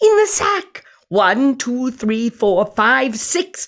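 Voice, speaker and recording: A put-on character voice from a man, extremely high in pitch and very slow in pace. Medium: read story.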